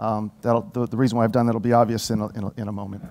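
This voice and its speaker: A man speaks very fast, with an American accent. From United States. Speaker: corporate marketing director. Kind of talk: conference presentation. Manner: halting, many fillers and repeats; animated.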